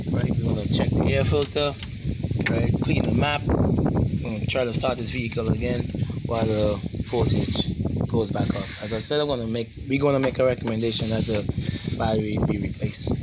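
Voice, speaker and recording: Loud background noise fills the clip as a man speaks at a moderate pace. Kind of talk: tutorial. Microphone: phone near.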